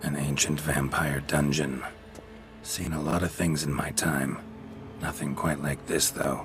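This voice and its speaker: A cartoonish character voice from a man, very deep and low in pitch, at a moderate pace amid clear background noise. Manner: terse, dry, clipped.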